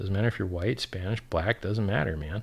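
A man speaks in a fairly low, somewhat breathy voice with ordinary pitch variation. The recording is very clean, with a silent background. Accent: American. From South Florida, near Fort Lauderdale. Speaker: crypto livestreamer. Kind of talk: livestream monologue with chat questions.

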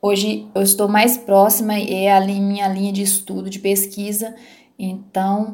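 With audible room echo, a woman speaks fairly slowly in a dark, mellow, somewhat breathy tone at medium pitch, her intonation monotone and flat. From Minas Gerais, Brazil (rural Palma). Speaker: biologist. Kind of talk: interview. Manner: halting, many repeated words.

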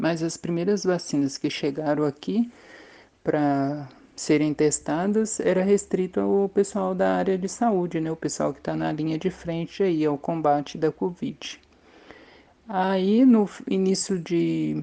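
This woman talks at a fairly slow pace in a fairly low pitch, with an unremarkable speaking voice. Her intonation is lively. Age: 50s. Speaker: maintenance technician, vaccine trial volunteer. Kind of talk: testimony.

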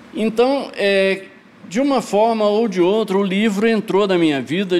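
Over noticeable background noise, a man speaks at a fairly slow pace with a high pitch and lively intonation. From Goiás, Brazil. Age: 60s. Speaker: poet and shop co-founder. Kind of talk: casual podcast interview.

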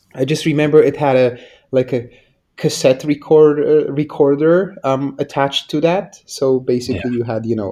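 A man with a Polish accent speaks at a moderate pace in a fairly high pitch, his dark, mellow tone carrying ordinary pitch variation. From Poland. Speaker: game publisher. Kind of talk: interview.

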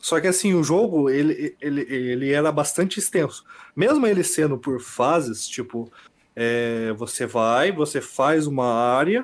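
On a very clean recording with a silent background, a man with an ordinary speaking voice speaks at a fairly slow pace, fairly high in pitch, with lively intonation. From Bela Vista do Paraíso, Paraná, Brazil. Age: 20s. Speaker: podcast guest, gamer. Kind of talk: casual chat.

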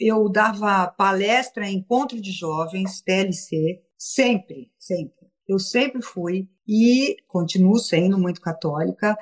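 Somewhat breathy, a woman of medium pitch speaks at a very slow pace with ordinary pitch variation in a dry, close sound with no echo. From São Paulo, Brazil. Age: 60s. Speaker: entertainment businesswoman and philanthropist. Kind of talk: casual interview. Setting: video call, Instagram live.

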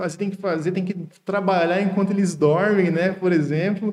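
Using fairly even intonation, a man speaks in a high pitch. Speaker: podcast host and engineer. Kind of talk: casual interview.

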